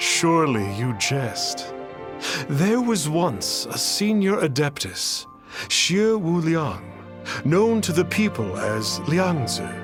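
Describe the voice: A man performs a put-on character voice, fairly high in pitch with big pitch swings. He speaks at a very slow pace with long, frequent pauses while clear music plays in the background.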